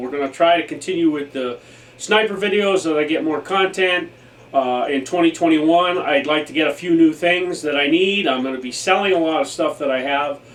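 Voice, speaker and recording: The man's voice is fairly high and moves with ordinary pitch variation. He keeps a moderate pace over noticeable background noise. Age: 60s. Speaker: airsoft YouTuber. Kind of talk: casual vlog monologue. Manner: halting with fillers.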